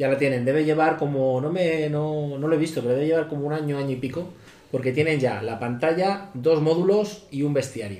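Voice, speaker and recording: A man with a fairly high pitch and ordinary pitch variation talks at a fairly quick pace amid noticeable background noise and audible room echo. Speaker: tabletop role-playing podcaster. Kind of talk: casual chat.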